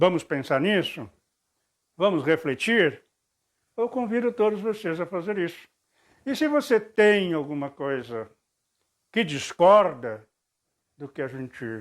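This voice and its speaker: With long, frequent pauses and very wide pitch swings, a man speaks at a fairly slow pace in a high pitch on a very clean recording with a silent background. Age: 60s. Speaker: video blogger, former preacher. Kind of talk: spoken reflection monologue.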